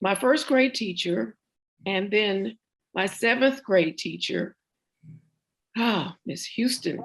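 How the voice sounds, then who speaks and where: A woman with a medium pitch and an American accent speaks at a very slow pace with vocal fry. Her intonation is lively, with long, frequent pauses. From US South, central Florida. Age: 70s. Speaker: oral history interviewee. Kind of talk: oral history interview. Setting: video call.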